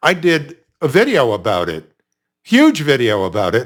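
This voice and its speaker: A man speaks with vocal fry. The recording is very clean, with a silent background. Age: 70s. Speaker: branding commentator. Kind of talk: opinion commentary monologue.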